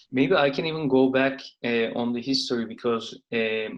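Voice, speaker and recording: This man has a Turkish accent and a medium pitch. He talks at a fairly slow pace with fairly even intonation. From Turkey. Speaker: venture capital investor, company founder. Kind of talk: interview.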